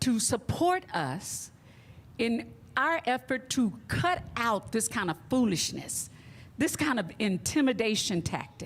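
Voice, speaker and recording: A woman with an American accent, fairly high-pitched with vocal fry, at a very slow pace with very wide pitch swings and very even loudness. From Texas, Dallas. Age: 70s. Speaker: community activist. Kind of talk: speech at a press conference.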